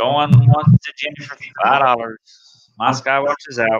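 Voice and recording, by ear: At a fairly slow pace, a man speaks at medium pitch with fairly even intonation.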